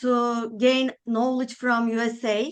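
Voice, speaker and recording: A woman speaks with a Turkish accent. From Turkey. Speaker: architect. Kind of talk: interview. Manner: hesitant, many filler sounds.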